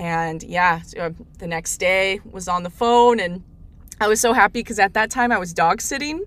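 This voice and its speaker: With big swings in loudness, a woman speaks at a moderate pace and medium pitch with ordinary pitch variation. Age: 20s. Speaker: customer security specialist. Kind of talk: interview.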